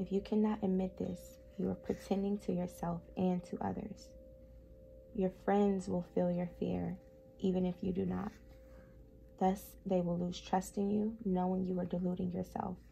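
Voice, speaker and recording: Speaking at a moderate pace, the woman is soft-spoken. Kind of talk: ASMR book reading.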